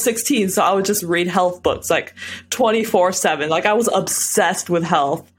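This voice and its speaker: An animated woman speaks at a moderate pace over noticeable background noise. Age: 20s. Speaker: real estate investor and warehouse worker. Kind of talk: interview.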